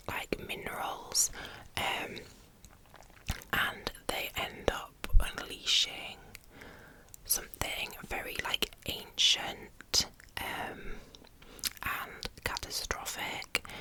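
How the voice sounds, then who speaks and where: A woman's whispering, very slow and broken by long, frequent pauses, over noticeable background noise. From England. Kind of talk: ASMR book review. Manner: whispered, soft-spoken.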